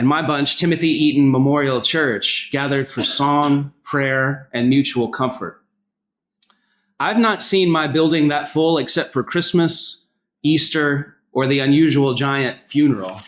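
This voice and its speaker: A man with a Southern US accent, fairly high pitch, ordinary pitch variation and a fairly slow pace. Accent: Southern US accent, noticeable. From US South, North Carolina. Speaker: pastor. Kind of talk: public speech.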